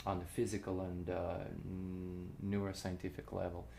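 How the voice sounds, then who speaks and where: Audible room echo surrounds a man whose pitch is very deep and low. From Russia. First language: Russian. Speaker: cellist and composer. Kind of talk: casual interview chat. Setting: informal show recording with drinks. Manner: halting, many fillers and restarts.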